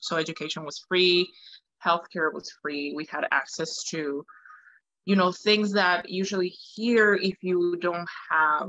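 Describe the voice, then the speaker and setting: In a Spanish accent, a woman speaks fairly slowly with fairly even intonation, her fairly low voice bright and sharp in tone. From Venezuela, Caracas. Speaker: opera singer. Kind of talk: interview.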